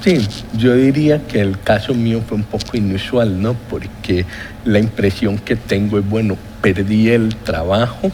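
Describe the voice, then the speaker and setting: A man with a fairly low pitch speaks fairly slowly, with ordinary pitch variation. Noticeable background noise can be heard. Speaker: economist, former health-insurance board chairman. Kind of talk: TV interview. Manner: formal.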